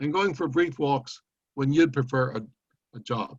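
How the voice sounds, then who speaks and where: A somewhat breathy man talks at a moderate pace. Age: 70s. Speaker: poet. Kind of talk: poetry reading.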